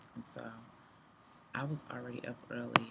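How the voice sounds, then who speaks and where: A woman with a very deep, low pitch speaks at a moderate pace. Noticeable background noise can be heard. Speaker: business coach and live streamer. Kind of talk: casual live stream monologue.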